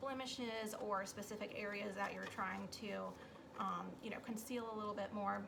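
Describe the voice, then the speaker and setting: A woman's fairly high voice at a moderate pace, with noticeable background noise and audible room echo. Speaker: makeup sales consultant. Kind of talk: tutorial. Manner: casual with fillers.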